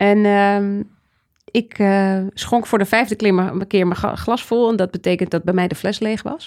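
Speaking in an unremarkable speaking voice, a woman keeps a medium pitch, a fairly slow pace and fairly even intonation. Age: 40s. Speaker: trend researcher and author. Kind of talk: interview conversation.

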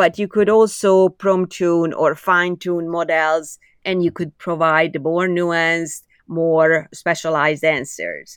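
A woman with a Hungarian accent speaks very slowly in a flat monotone at a fairly low pitch. The sound is dry and close with no echo, over a quiet background. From Hungary, Budapest. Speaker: AI engineer. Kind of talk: interview.

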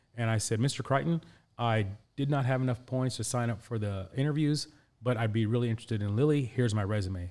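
On a very clean recording with a silent background, a man with a Midwestern accent speaks at a fairly quick pace, medium in pitch with ordinary pitch variation. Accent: American Midwest. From Indianapolis, US Midwest (born in Pakistan). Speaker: career coach and executive. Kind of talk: interview. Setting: studio.

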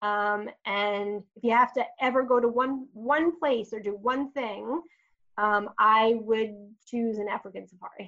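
With an American accent and a bright, sharp tone, a woman speaks at a fairly slow pace in a fairly high pitch, her pitch varying in an ordinary way while her loudness swings widely. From Long Island, New York. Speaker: marketing executive. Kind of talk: interview.

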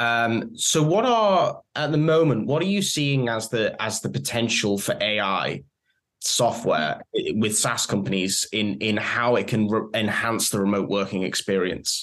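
A man of medium pitch, speaking at a fairly slow pace. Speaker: podcast host. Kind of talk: interview conversation. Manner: hesitant, filler words.

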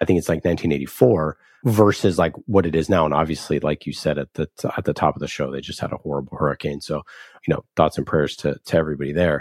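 In a dry, close recording with no echo, a man with a very deep, low voice talks at a very fast pace, his intonation fairly even and marked by vocal fry. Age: 30s. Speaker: podcast host. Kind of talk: casual interview chat.

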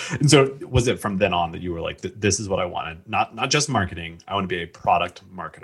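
Somewhat breathy and very fast, the speech has lively intonation, big swings in loudness, and a Midwestern American accent. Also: man, fairly low pitch for a man. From Indiana, US Midwest. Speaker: podcast host. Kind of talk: casual chat; scripted narration.

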